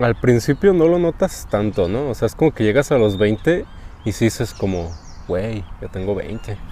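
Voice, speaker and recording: Speaking with a Mexican accent, a man has a medium pitch and a dark, mellow tone. He goes at a fairly slow pace with very wide pitch swings. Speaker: podcast co-host. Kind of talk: casual chat.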